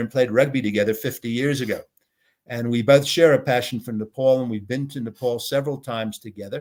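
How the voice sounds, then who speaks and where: Someone with an American accent talks at a very fast pace with fairly even intonation. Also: man. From United States. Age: 60s. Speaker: business consultant and entrepreneur. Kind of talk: interview, casual conversation. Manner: hesitant, many filler words.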